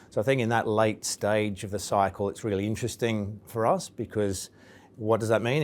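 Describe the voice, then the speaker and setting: Speaking at a moderate pace, a man with an English accent uses a fairly low, monotone, flat voice. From England. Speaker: investment firm executive. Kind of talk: interview.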